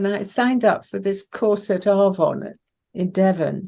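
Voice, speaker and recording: Speaking at a fairly slow pace, a woman with an RP accent has a dark, mellow tone at medium pitch. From southern England (Isle of Wight boarding school), born in Iran. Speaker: poet. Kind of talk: interview.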